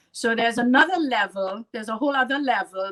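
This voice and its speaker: Bright and sharp in tone, a woman with a strong Trinidadian accent speaks with ordinary pitch variation. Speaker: artist. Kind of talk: casual chat.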